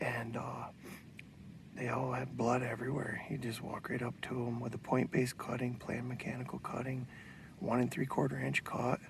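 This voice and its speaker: At a moderate pace, a man speaks in a whisper. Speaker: bowhunter and archery product maker. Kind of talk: outdoor hunting vlog with product pitch. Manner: whispering.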